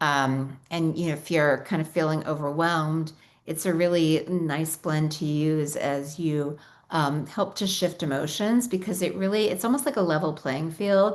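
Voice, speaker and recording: With an American accent, a woman talks at a very deep, low pitch with ordinary pitch variation. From New York. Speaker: essential oils company founder. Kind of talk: webinar presentation. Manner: fast.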